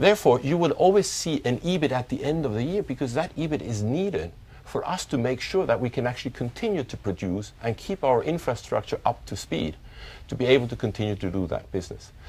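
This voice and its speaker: This man talks at a very fast pace with a non-native accent. His pitch swings very widely, and vocal fry comes through. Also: medium pitch for a man. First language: not English. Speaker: chief financial officer. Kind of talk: corporate results briefing.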